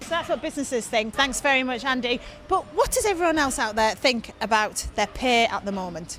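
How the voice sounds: A woman's fairly high voice, fairly bright in tone, at a fairly quick pace. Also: lively intonation.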